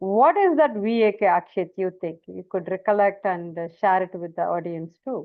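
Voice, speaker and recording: A woman with a South Indian accent speaks at a moderate pace and medium pitch, with ordinary pitch variation. Her loudness swings widely, and she hardly pauses. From India, Tamil-speaking. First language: Tamil. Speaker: communication trainer. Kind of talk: online training session.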